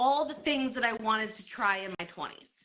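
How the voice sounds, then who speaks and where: This woman's voice has a bright, sharp tone. She talks with an American accent. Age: 40s. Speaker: network marketer. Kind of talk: live stream talk. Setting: Instagram live.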